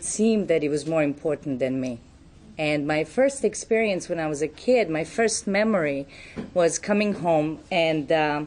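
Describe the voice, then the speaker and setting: A woman's fairly low voice with a Serbian accent. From Serbia, Belgrade. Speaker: recovery speaker. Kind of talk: testimony.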